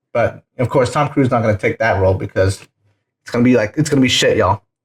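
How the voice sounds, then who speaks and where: A man with a medium pitch talks at a very fast pace with ordinary pitch variation. His voice is somewhat breathy, and it swings widely in loudness. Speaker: podcast host. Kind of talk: casual chat. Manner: animated; quieter.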